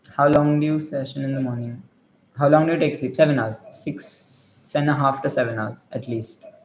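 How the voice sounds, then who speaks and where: A man's fairly high-pitched voice, fairly even in intonation, with audible room echo. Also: moderate pace. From India, Maharashtra (Gujarati family). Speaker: medical student streamer. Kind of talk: casual livestream chat reading comments.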